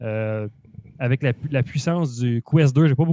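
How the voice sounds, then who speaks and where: In a dry recording with no echo, a man speaks at a moderate pace with ordinary pitch variation. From Quebec. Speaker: gaming podcast co-host. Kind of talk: casual chat. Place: home room. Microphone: handheld.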